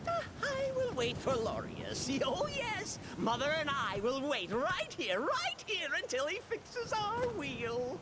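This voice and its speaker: Over loud background noise, a put-on character voice runs at a fairly slow pace with hardly any pauses. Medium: video game. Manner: theatrical, sing-song, excitable.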